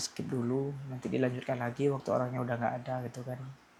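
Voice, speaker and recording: A somewhat breathy male voice at a medium pitch. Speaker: vlogger. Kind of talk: casual vlog monologue, personal venting. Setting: at home at night. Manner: hesitant, self-correcting.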